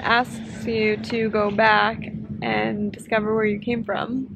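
A woman's voice comes through somewhat breathy, over light background noise. The sound is dry, with no echo. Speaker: vlogger. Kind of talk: casual vlog chat. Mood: reflective, thoughtful. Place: beach. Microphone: phone near.

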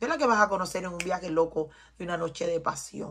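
Speaking at a fairly quick pace, a woman has a bright, sharp tone, a medium pitch and ordinary pitch variation. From Cuba. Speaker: tarot reader. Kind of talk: tarot reading.

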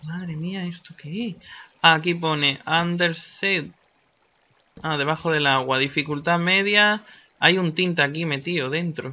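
A man speaks at a fairly slow pace with a high pitch. He leaves long, frequent pauses. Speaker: gaming YouTuber. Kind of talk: gameplay commentary. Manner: animated.

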